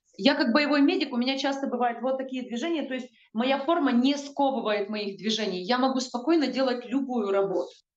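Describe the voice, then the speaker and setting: Audible room echo surrounds a woman speaking at a fairly quick pace in a high pitch. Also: ordinary pitch variation. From Ukraine. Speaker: combat medic. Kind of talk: news report interview. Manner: halting, with filler sounds. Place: home room. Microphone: video call.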